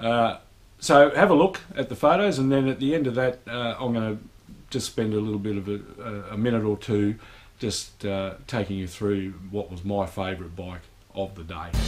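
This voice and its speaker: At a moderate pace, a man speaks in an ordinary speaking voice that is fairly low, with ordinary pitch variation. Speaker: motorcycle vlogger. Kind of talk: casual vlog chat. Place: garage. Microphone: camera far.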